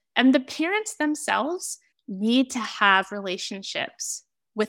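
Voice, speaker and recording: Here a woman speaks with an American accent at a fairly high pitch. The recording is very clean, with a silent background. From Oregon, US. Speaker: author and adoptee advocate. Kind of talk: interview.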